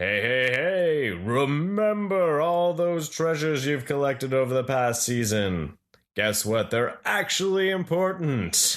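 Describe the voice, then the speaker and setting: Using a put-on character voice, a man speaks fairly slowly at a fairly high pitch with hardly any pauses. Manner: ominous.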